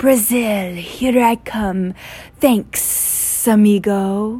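Speaking very slowly, a female-sounding voice at medium pitch uses a put-on character voice.

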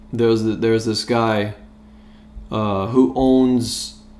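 A man speaks in a medium pitch with monotone, flat intonation. Noticeable background noise sits behind him. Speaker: sports podcast co-host. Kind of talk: casual chat. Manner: casual, chatty.

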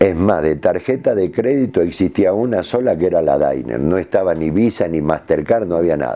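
At a moderate pace with hardly any pauses, a man speaks in a very deep, low pitch with lively intonation. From Argentina, Jujuy. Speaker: retired footballer. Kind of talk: interview.

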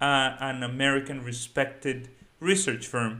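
A man with a Spanish accent speaks at a fairly slow pace, his fairly high voice bright and sharp in tone. The recording is very clean, with a silent background. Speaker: finance YouTuber. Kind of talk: solo video commentary.

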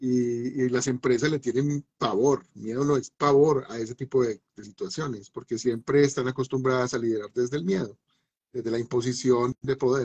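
A medium-pitched man's voice with a Colombian Paisa accent, fairly even intonation and a moderate pace, in a dry, close sound with no echo. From Medellín, Colombia. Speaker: philosopher, musician and university teacher. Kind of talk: live online talk show. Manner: halting, many repetitions.

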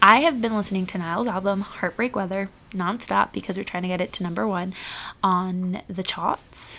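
Using a raspy put-on character voice, a woman speaks at a medium pitch and a moderate pace with fairly even intonation.

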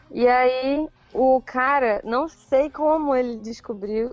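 Very slow pace with ordinary pitch variation. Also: woman. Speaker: YouTuber and blogger. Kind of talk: casual chat.

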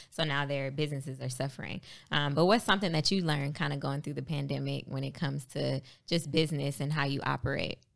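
Vocal fry at a very fast pace, with fairly even intonation. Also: woman, very deep, low pitch for a woman. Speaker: podcast host. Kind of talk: casual interview chat. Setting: studio.

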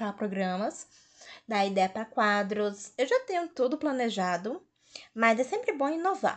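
A woman speaks in a plain, everyday voice at a moderate pace. Her pitch is fairly high, and the background is quiet. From Fortaleza, Ceará, Brazil. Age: 20s. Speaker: podcast host. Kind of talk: casual solo podcast introduction.

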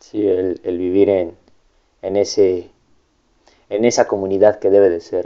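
The delivery is fairly slow and monotone, with flat intonation, long and frequent pauses, and big swings in loudness. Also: man, fairly low pitch for a man. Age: young. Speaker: podcast host. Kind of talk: casual interview.

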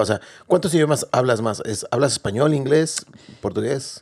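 An ordinary speaking voice from a man at a fairly quick pace, with ordinary pitch variation. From Mexico. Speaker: podcast host. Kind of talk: casual interview.

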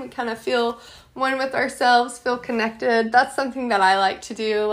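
Fairly high-pitched and moderately paced, a normal speaking voice from a woman, its intonation fairly even. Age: 20s. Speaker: podcast host. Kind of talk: casual solo podcast monologue.

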